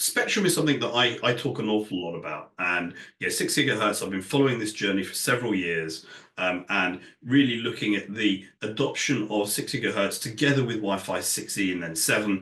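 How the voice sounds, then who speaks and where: With a British accent, a man speaks at a fairly low pitch in a bright, sharp tone with ordinary pitch variation and audible room echo. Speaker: industry analyst. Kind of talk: conference talk. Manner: hesitant, many fillers.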